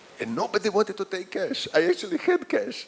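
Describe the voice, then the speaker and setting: Noticeable background noise runs under this recording. A man talks at a moderate pace, his pitch swinging very widely. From Croatia. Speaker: professor. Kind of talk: lecture. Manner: halting, repetitive.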